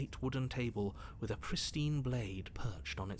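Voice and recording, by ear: Words are read aloud here. A natural voice carries them.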